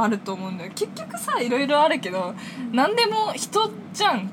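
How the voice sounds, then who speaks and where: A woman talks fairly quickly while noticeable background noise carries on behind her. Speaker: university student podcast co-host. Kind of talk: casual chat; scripted show outro.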